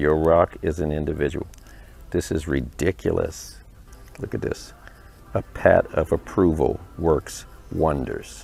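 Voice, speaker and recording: A man at a fairly slow pace with long, frequent pauses and music in the background. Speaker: motivational speaker. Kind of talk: casual vlog. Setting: bookstore. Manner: animated.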